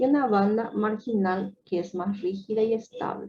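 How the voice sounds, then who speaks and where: Speech comes at a fairly slow pace. The voice is somewhat breathy. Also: woman. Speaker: medical lecturer. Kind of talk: lecture.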